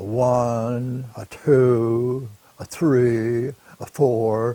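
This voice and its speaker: In a put-on character voice with a Texas accent, a man talks very slowly at a medium pitch with monotone, flat intonation. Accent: Texas drawl. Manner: slow, counting.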